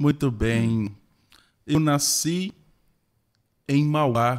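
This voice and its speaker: Talking very slowly, a man uses ordinary pitch variation at a fairly high pitch for a man. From interior of São Paulo state, Brazil. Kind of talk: podcast interview. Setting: studio podcast.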